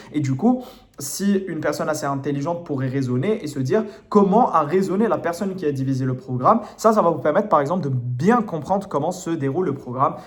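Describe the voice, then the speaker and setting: A man with a slight non-native accent talks at a fairly quick pace. His intonation is lively. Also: fairly high pitch for a man. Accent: slight foreign. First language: not French (speaking French). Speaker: French literature tutor. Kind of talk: lecture. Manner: hesitant, many fillers.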